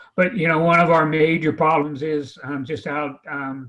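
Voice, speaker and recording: This is an unremarkable speaking voice, a man with an American accent at a fairly high pitch. He keeps a moderate pace with ordinary pitch variation. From Oregon coast, North Bend. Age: 60s. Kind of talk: panel discussion.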